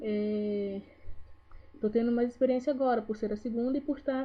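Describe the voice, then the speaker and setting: Her voice is high for a woman, and her pitch varies in an ordinary way. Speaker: vlogger. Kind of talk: casual vlog talk to camera. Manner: trying to speak slowly.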